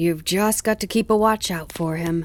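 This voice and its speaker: In a put-on character voice, a female-sounding speaker of medium pitch talks at a moderate pace on a very clean recording with a silent background. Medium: read story. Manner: chatty, lightly careless.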